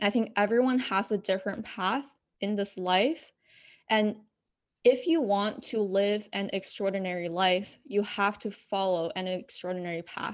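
With an unremarkable speaking voice, a woman talks in a medium register at a moderate pace, her pitch varying in an ordinary way over a quiet background. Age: young. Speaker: fitness and life coach. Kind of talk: casual interview.

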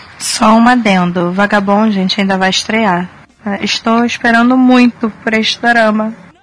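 Fairly high in pitch, a woman's voice moves at a fairly slow pace with fairly even intonation and very even loudness. Noticeable background noise is present. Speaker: podcast co-host. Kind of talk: casual chat.

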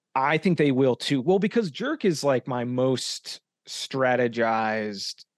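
With an ordinary speaking voice, a man talks at a fairly slow pace with medium pitch and lively intonation, in a dry, close sound with no echo against a quiet background. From Arizona. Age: 30s. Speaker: independent filmmaker and podcast host. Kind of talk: casual interview chat.

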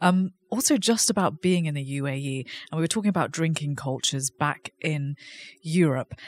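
On a very clean recording with a silent background, the talking is fairly quick. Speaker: podcast host. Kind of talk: interview over lunch. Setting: restaurant.

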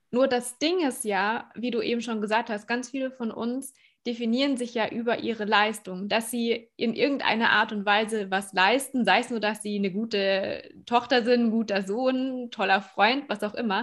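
A woman in a normal speaking voice, fairly high in pitch, with fairly even intonation at a moderate pace over a quiet background. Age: young. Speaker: podcast host and speaker. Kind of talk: interview.

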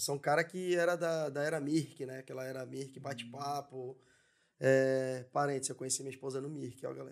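A man with an unremarkable speaking voice talks at a medium pitch. His pace is fairly quick and his intonation fairly even. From São Paulo city (Zona Leste, Penha), Brazil. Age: 30s. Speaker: entrepreneur. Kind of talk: casual interview chat.

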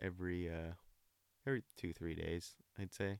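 Dry and close with no echo, this very clean recording with a silent background captures a man with an American accent speaking at a fairly slow pace with a very deep, low pitch. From Olympia, Washington, US Pacific Northwest. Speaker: person in addiction recovery. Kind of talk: casual interview, personal testimony.

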